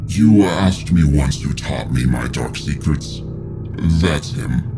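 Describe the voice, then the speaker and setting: A man speaks in a put-on character voice at a fairly slow pace. Loud background noise runs underneath. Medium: read story. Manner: dry, sardonic.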